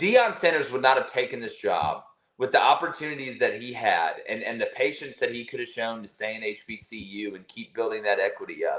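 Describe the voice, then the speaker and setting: Animated in tone, a man with a Southern US accent talks at a fairly quick pace. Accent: Southern US, moderate. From Alabama. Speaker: college football analyst. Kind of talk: podcast interview.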